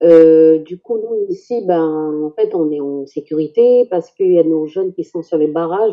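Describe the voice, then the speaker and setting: A woman talks at a moderate pace with a fairly low pitch and ordinary pitch variation. It is an ordinary speaking voice. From New Caledonia, Kanak, Canala. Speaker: Kanak community member. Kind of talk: casual discussion.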